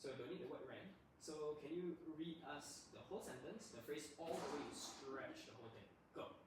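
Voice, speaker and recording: This man talks at a moderate pace with ordinary pitch variation. There is audible room echo. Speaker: tutor. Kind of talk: classroom lesson. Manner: loud.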